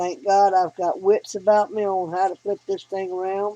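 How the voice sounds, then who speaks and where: At a fairly slow pace, a woman with a Southern US accent speaks at a medium pitch in a dry, close sound with no echo. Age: 60s. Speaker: hobbyist vlogger. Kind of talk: casual tutorial. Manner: folksy, conversational.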